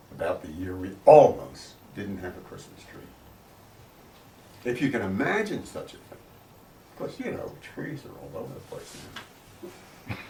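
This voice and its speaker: Someone with an American accent speaks at a moderate pace with long, frequent pauses and big swings in loudness, with audible room echo. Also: man. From US Northeast, Philadelphia. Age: 70s. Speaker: grandfather telling family history. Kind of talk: storytelling and interview answers.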